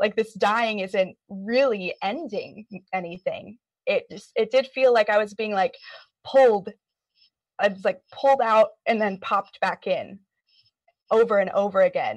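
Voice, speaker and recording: A woman's fairly high voice, fairly slow with long, frequent pauses and ordinary pitch variation, in a dry, close sound with no echo. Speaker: clinical hypnotherapist. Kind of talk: casual group discussion. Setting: video call.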